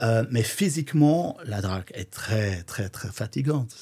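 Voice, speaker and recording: In a very clean recording with a silent background, this man talks very slowly. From Flanders, Belgium. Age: 50s. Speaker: drag queen DJ. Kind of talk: casual interview.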